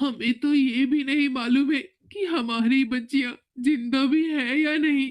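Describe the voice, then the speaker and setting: In a put-on character voice, a woman speaks high and shaky. Her intonation stays fairly even at a moderate pace. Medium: read story. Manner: panicky, trembling, halting.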